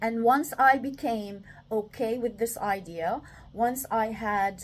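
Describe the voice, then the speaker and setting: The speaker is a woman with a non-native accent. Her pitch rises and falls in an ordinary way. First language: not English. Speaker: self-development talker. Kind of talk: reflective monologue. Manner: halting, many fillers.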